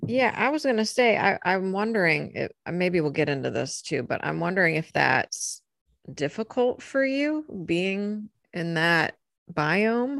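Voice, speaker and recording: A woman speaks fairly slowly at a medium pitch, with an American accent. Her pitch swings very widely. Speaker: podcast co-host, witch. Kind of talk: casual chat.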